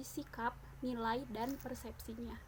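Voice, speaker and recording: Fairly slow pace and fairly even intonation. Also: woman. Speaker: teacher-training student. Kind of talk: casual video presentation. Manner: hesitant, many fillers.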